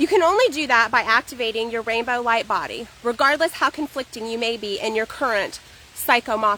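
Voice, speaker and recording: Her tone bright and sharp, a woman talks at a fairly quick pace with a fairly high pitch and ordinary pitch variation. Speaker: poet. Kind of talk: poetry reading. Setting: outdoors. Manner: fast.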